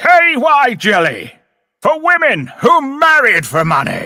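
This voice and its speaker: A man puts on a character voice pitched extremely high, speaking at a fairly slow pace. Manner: dramatic, advert-style.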